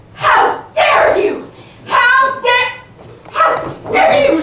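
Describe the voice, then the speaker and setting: An extremely high put-on character voice is heard. Its pace is very slow. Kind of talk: formal, old-fashioned. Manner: shouting, indignant.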